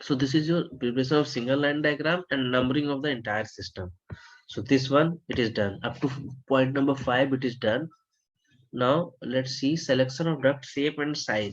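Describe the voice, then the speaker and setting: A soft-spoken man, medium in pitch, with ordinary pitch variation and a moderate pace. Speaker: HVAC design instructor. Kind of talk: lecture. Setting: online webinar.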